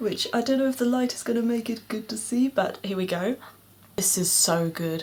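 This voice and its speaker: Against noticeable background noise, a soft-spoken woman talks with ordinary pitch variation. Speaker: beauty vlogger. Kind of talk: casual vlog monologue. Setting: home, at night, filming on camera. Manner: hesitant, many filler words; quiet, soft-spoken.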